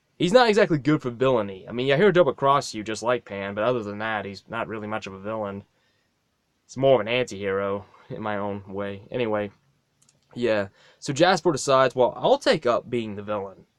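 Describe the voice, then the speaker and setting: A mumbling man at medium pitch and a fairly quick pace, with big swings in loudness and a dry, close sound with no echo. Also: ordinary pitch variation. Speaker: fan video maker. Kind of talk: casual monologue. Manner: halting.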